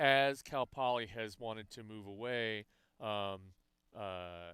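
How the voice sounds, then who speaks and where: Fairly low male voice with a bright, sharp tone at a very slow pace. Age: 60s. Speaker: rowing commentator and coach. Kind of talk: live sports commentary. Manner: halting, many fillers.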